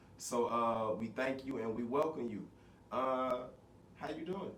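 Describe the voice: At a moderate pace, a man talks with audible room echo.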